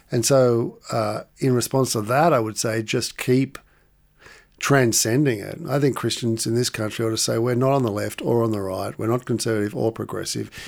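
In a very clean recording with a silent background, a man with an Australian accent talks at a medium pitch with fairly even intonation. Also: moderate pace. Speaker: author and lecturer. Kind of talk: interview conversation.

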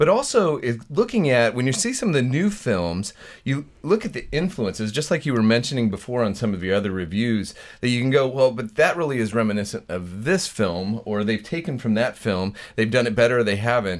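A man at medium pitch with an American accent, a plain, everyday voice, lively intonation and a fairly quick pace. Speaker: regular commentator and film reviewer. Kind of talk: casual chat.

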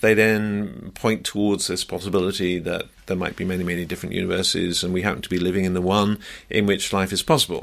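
A man speaks at a moderate pace with an English accent. The recording is very clean, with a silent background. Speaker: scientist. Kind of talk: interview. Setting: radio studio.

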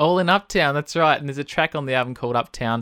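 Speaking at a very fast pace in an Australian accent, a man with a bright, sharp tone and ordinary pitch variation comes through on a very clean recording with a silent background and a dry, close sound with no echo. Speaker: radio host. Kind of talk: radio interview. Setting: radio studio.

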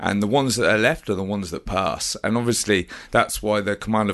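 Against a quiet background, a man uses an ordinary speaking voice. His pitch is fairly low, with ordinary variation. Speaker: army commando veteran and personal trainer. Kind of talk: casual interview chat. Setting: studio.

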